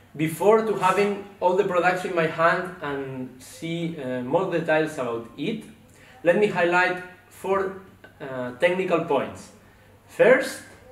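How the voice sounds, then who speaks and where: With audible room echo, a man speaks very slowly in a voice that is high-pitched for a man. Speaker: presenter. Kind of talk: product presentation. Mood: calm, explanatory. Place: studio.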